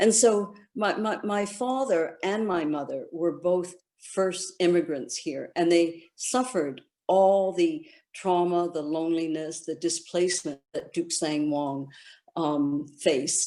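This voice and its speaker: A woman with a Canadian accent, fairly low in pitch, with a dark, mellow tone, ordinary pitch variation and a very slow pace. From Canada (Guelph, Ontario), born in China. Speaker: author. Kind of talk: conversation at online book launch.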